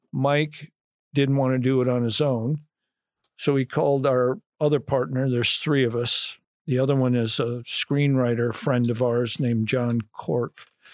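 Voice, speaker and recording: A man with a Midwestern US accent speaks at a medium pitch and a fairly slow pace. His loudness stays very even and his intonation fairly even. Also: very clean recording, silent background. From Illinois, Kankakee County. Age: 60s. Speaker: film memorabilia collector. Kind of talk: podcast interview.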